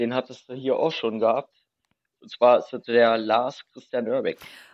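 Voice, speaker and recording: The loudness of this medium-pitched man's voice swings widely. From Berlin. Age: 30s. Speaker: urban explorer. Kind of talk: casual chat.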